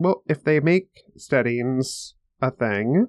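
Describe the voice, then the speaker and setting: A man's normal speaking voice at medium pitch, with ordinary pitch variation and a dry, close sound with no echo. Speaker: podcast co-host.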